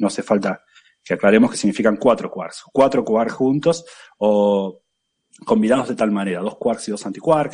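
Lively intonation marks a man's medium-pitched speech at a moderate pace. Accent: Argentine. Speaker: physics professor. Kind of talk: casual chat.

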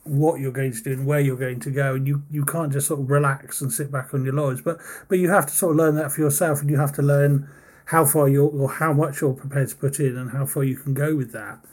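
This man has a fairly high pitch and a somewhat breathy voice. He talks fairly quickly in a flat, monotone way. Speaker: podcast interviewer. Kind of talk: casual interview chat.

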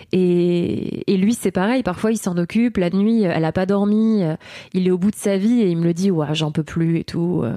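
A woman speaks with a dark, mellow tone. Her loudness stays very even. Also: medium pitch for a woman, ordinary pitch variation, moderate pace. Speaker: mother and stage performer. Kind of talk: casual interview.

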